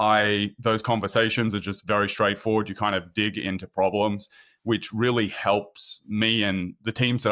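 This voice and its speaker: Recorded very cleanly with a silent background and a dry, close sound with no echo, a man with an Australian accent speaks at a fairly low pitch. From Sydney, Australia. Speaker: product marketing manager at a software company. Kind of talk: podcast interview.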